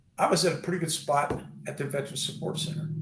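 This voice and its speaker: The speaker has an American accent. Room echo is audible. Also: man. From US West Coast, California Bay Area. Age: 60s. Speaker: retired army veteran. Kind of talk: casual interview chat.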